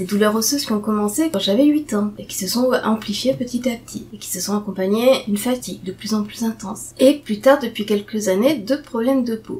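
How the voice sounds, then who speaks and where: Delivered at a fairly quick pace, the speech has ordinary pitch variation. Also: woman, big swings in loudness. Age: 40s. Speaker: patient sharing testimony. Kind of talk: casual talk to camera. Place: home room. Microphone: webcam.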